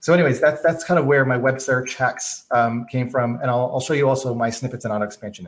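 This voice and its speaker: A somewhat breathy man talks at a fairly quick pace. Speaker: productivity workshop presenter; presenter. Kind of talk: live stream tutorial. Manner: fast; casual with many fillers.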